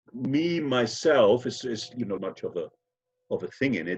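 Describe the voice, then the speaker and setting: A man delivers his words at a moderate pace. The rise and fall of his voice is lively. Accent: German. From Germany. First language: German. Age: 60s. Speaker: actor. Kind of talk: interview. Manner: halting.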